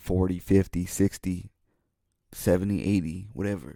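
In a very clean recording with a silent background, a man with a very deep, low pitch and a dark, mellow tone talks at a moderate pace with fairly even intonation. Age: 20s. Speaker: podcast host and musician. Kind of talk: casual solo monologue.

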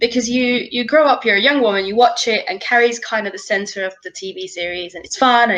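A woman's fairly high, very fast voice with lively intonation amid noticeable background noise. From Finland. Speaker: film writer. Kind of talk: casual chat.

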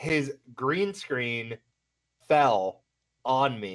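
Medium in pitch, a man speaks with lively intonation. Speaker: podcast co-host and streamer. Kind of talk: casual chat.

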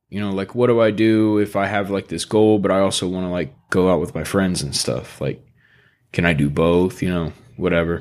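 This man has an ordinary speaking voice, fairly low in pitch. He talks at a moderate pace with ordinary pitch variation. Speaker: podcast host. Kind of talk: casual chat. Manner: laid-back, casual.

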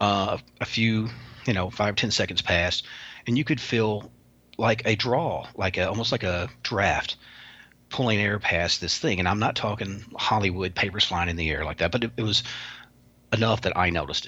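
A man with a Kentucky accent speaks at a moderate pace in a fairly low voice, his bright, sharp tone showing ordinary pitch variation over a quiet background. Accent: Southern US (Kentucky). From US South, Kentucky. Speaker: paranormal researcher and author. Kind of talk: interview.

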